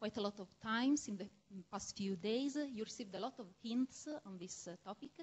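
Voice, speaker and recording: Talking fairly quickly with a strong Italian accent, a woman uses a fairly high, somewhat breathy voice with ordinary pitch variation. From Italy. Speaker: medical researcher and lecturer. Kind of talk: lecture. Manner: halting, with frequent fillers.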